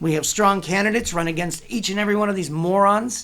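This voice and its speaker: A man speaks in an animated tone. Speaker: political commentary host. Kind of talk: political commentary monologue.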